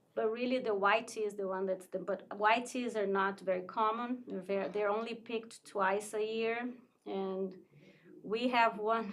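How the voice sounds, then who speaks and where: Her pitch fairly high and her intonation monotone and flat, a woman speaks at a moderate pace. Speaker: tea shop owner. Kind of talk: casual interview.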